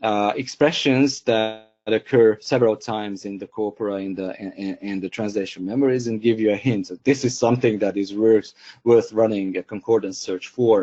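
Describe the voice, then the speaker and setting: A man with a Hungarian accent talks at a moderate pace. His pitch sits fairly low, and his loudness swings widely. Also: fairly even intonation. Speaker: software company co-founder and trainer. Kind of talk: webinar tutorial. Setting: online webinar. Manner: hesitant, many fillers and repeats.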